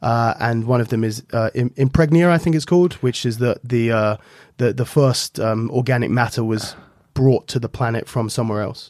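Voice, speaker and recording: A man with an English accent, in a very clean recording with a silent background and a dry, close sound with no echo. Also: medium pitch for a man, ordinary pitch variation, moderate pace. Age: 20s. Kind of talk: casual chat.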